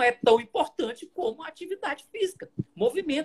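A man at a moderate pace, with very wide pitch swings, in a dry, close sound with no echo. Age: 60s. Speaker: basketball coach and professor. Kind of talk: interview. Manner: halting, many repetitions.

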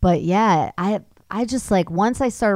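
Over a very clean recording with a silent background, a woman uses an ordinary speaking voice at a moderate pace with ordinary pitch variation. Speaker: actress and voice actor. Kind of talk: casual chat.

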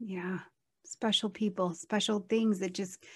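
Fairly high and a bit breathy, a woman's voice unfolds at a very slow pace. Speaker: astrology show host. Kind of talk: casual chat.

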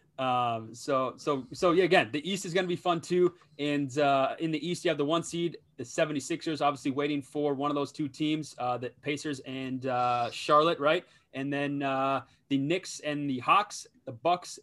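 With an American accent, a man speaks in a normal speaking voice at a fairly high pitch and a moderate pace. His pitch variation is ordinary, and the recording is very clean with a silent background. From Minnesota. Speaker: sports betting podcast host. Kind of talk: casual chat.

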